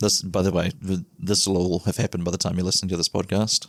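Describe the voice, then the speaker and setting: A quiet, calm man with a New Zealand accent and very deep, low pitch, in a dry, close sound with no echo. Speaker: podcast host. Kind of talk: casual podcast intro monologue. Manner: quiet, calm, low energy.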